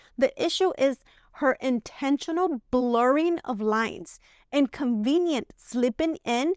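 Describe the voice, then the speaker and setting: A woman's high-pitched voice with a Spanish accent, at a fairly slow pace, in a dry, close sound with no echo. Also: very clean recording, silent background. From Mexico. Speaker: commentary youtuber. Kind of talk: video commentary.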